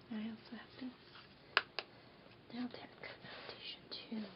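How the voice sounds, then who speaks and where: A woman whispers with an American accent. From New York. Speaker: ASMR creator. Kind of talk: ASMR show-and-tell, casual talk to camera. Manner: whispered, soft-spoken, quiet.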